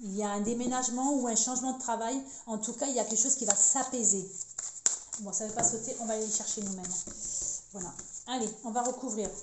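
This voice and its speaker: Amid noticeable background noise and audible room echo, a woman with a fairly high pitch talks at a fairly quick pace with fairly even intonation and long, frequent pauses. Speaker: tarot card reader. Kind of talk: card reading monologue. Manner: fast; halting, many repetitions.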